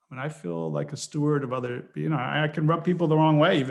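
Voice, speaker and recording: A man speaks with an American accent at a moderate pace. He has an ordinary speaking voice with a fairly high pitch. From northeastern US, New York City area. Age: 60s. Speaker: angel investor and mentor. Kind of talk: casual interview chat.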